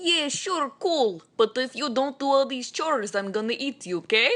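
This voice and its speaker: In a put-on character voice with a Russian accent, the speaker goes at a moderate pace. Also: woman, high pitch for a woman. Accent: exaggerated Russian. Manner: casual, jokey, threatening.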